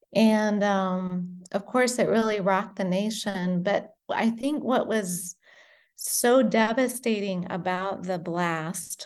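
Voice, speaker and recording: With an unremarkable speaking voice, a woman talks at a fairly slow pace, her medium pitch held in fairly even intonation. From United States (born in Britain, moved at five). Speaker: founder of a charity craft project. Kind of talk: interview.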